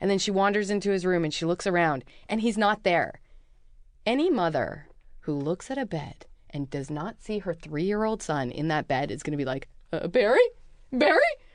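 A woman with a Canadian accent has an ordinary speaking voice of medium pitch. She speaks at a moderate pace with lively intonation against a quiet background. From Vancouver, Canada. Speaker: filmmaker and comedian. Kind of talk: casual chat.

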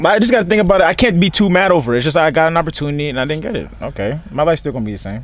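A man talks very fast at a fairly high pitch, with hardly any pauses and very wide pitch swings. Noticeable background noise sits behind him. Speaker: podcast co-host. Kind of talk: casual chat. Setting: outdoors.

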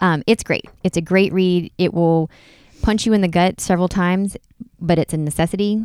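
In an ordinary speaking voice, a woman of medium pitch talks at a moderate pace with fairly even intonation and very even loudness, on a very clean recording with a silent background and a dry, close sound with no echo. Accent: American. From North Carolina, US South. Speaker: podcast co-host. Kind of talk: casual chat.

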